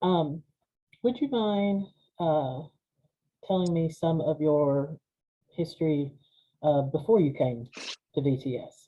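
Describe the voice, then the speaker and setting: In a Southern Appalachian accent, the speaker goes at a very slow pace, leaving long, frequent pauses, with ordinary pitch variation. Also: man, fairly high pitch for a man. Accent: Southern Appalachian, embraced. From US South, Appalachian Georgia. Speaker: seminary archivist, interviewer. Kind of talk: oral history interview.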